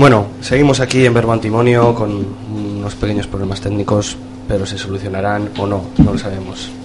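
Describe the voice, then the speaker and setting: Fairly brisk talk from a man, with distinct background noise. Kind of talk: radio interview, poetic hosting. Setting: radio studio.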